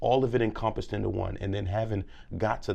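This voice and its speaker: With an American accent, a man is talking. He has a fairly low pitch. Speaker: public speaker and former teacher. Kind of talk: casual interview. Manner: loud; animated.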